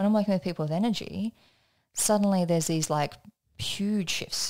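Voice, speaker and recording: With an Australian accent, a woman speaks fairly quickly and with fairly even intonation on a very clean, dry, close recording with no echo and a silent background. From Australia (country area). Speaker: energetics trainer and business coach. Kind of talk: podcast interview, personal story. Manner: casual, conversational.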